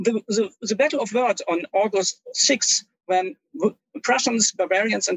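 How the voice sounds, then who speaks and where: This man has a German accent and a high pitch. He talks at a very slow pace with ordinary pitch variation. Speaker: history professor. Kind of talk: interview. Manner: formal.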